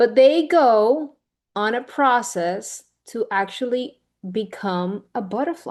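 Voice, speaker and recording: A woman speaks with a Spanish accent and lively intonation. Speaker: women's leadership speaker. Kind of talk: motivational talk with Q&A. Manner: occasionally halting, searching for words.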